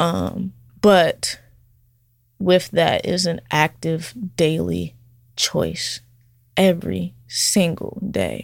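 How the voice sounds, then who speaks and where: In a very clean recording with a silent background, a woman speaks with an American accent. Her pace is very slow, with long, frequent pauses. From California, then Atlanta from middle school. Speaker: barber. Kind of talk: casual interview.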